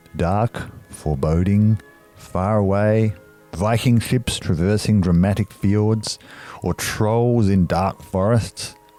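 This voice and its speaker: Music plays in the background as a man speaks at a very slow pace. His fairly low voice stays very even in loudness. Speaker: podcast interviewer. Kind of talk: scripted introduction narration.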